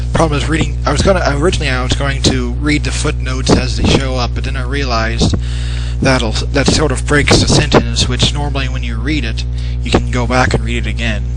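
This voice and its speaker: Over background music, a man speaks quietly at a fairly quick pace, his very deep, low voice monotone and flat. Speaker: novelist. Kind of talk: casual livestream talk. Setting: home microphone, buzzing.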